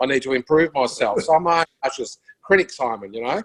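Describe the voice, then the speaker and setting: Dry and close with no echo, a man speaks in an Australian accent. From Melbourne western suburbs, Australia. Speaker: musician and broadcaster. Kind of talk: casual chat.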